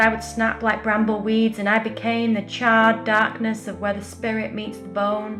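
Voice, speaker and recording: A woman takes a fairly slow pace as music plays in the background. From Northern England. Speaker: poet. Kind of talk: spoken word poetry reading.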